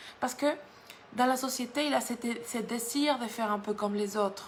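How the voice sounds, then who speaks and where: A woman's medium-tempo speech in a room with audible echo. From Mexico. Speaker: guest preacher. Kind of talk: sermon. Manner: halting, with frequent repetitions.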